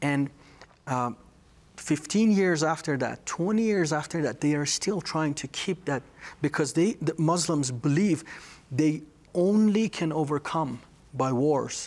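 A fairly high-pitched man in a Persian accent, at a fairly slow pace with long, frequent pauses and ordinary pitch variation. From Iran, Tehran. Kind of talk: testimony.

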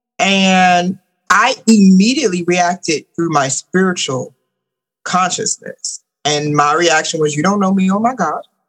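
Animated in tone, a woman with a medium pitch speaks at a fairly slow pace with ordinary pitch variation. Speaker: spiritual teacher, womb healer, author. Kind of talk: casual interview chat.

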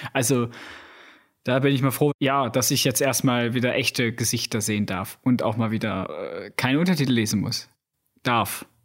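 Talking at a moderate pace, a man at medium pitch uses ordinary pitch variation. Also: long, frequent pauses. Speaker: podcast host, film reviewer. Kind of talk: casual chat.

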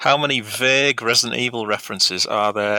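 With a northern English accent, a man speaks at a medium pitch. His pitch variation is ordinary. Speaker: podcast quizmaster. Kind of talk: casual chat, quiz reading.

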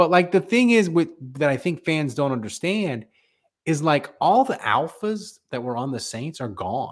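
In a very clean recording with a silent background, a man with a fairly high voice talks at a moderate pace, his pitch swinging very widely. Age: 40s. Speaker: sports podcast host. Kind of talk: casual chat. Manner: animated.

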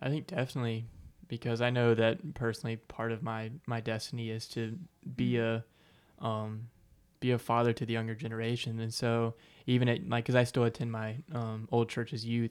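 A man with an American accent speaks at a moderate pace and medium pitch, in a plain, everyday voice with fairly even intonation. The recording is very clean, with a silent background. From South Carolina, Aiken. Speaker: college student. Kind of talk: testimony. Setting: studio.

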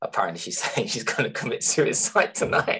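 A man uses a raspy, put-on character voice. He talks at a fairly quick pace. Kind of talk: casual, conversational. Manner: laughing while speaking.

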